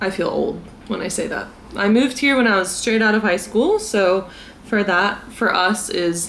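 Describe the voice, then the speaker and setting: With an American accent, a woman of medium pitch speaks at a moderate pace with ordinary pitch variation, amid audible room echo and noticeable background noise. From US South, South Carolina. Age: 20s. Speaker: vlogger. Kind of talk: casual chat. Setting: drinking tea at home.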